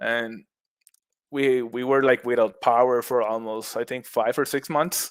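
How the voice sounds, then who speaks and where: On a very clean recording with a silent background, a man in a Puerto Rican accent speaks fairly slowly at medium pitch with fairly even intonation. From Puerto Rico, west coast beach town. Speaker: mushroom cultivator, former accountant. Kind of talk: podcast interview. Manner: halting, many repetitions.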